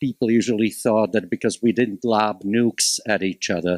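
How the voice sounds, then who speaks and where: Speaking with a Slovak accent, a man uses a fairly low pitch with ordinary variation at a moderate pace, the sound dry and close with no echo on a very clean recording with a silent background. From Slovakia (Bratislava). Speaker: college instructor, panelist. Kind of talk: panel discussion.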